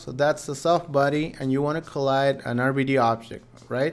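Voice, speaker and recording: A man at a moderate speed, fairly high-pitched, with an ordinary speaking voice. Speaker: 3D software trainer. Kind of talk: live tutorial webinar. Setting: live stream. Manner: casual, chatty.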